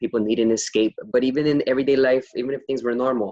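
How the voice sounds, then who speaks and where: At a fairly quick pace, a man with an ordinary speaking voice talks in fairly even intonation, the sound dry and close with no echo. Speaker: interviewer, series host. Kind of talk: casual interview conversation.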